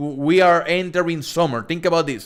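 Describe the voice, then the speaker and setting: A man with a strong Spanish accent and a fairly high pitch. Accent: thick Spanish. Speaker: crypto streamer. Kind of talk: live stream Q&A. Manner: casual, halting with repeated words.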